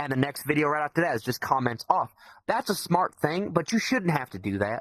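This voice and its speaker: A man's fairly high voice with a Southern US accent, animated in tone, the sound dry and close with no echo. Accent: southern drawl. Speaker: podcast guest, VR community member. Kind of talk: casual podcast chat. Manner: animated, repetitive stammering.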